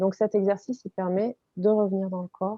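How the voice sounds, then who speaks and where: At a fairly slow pace, a woman speaks in a calm tone at medium pitch. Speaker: body and movement coach. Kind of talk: interview. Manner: hesitant.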